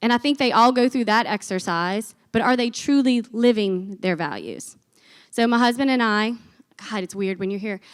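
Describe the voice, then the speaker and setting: A woman's fairly high, animated voice in a very clean recording with a silent background. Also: ordinary pitch variation. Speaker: business executive and conference speaker. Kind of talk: conference talk. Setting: stage with audience. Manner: fast.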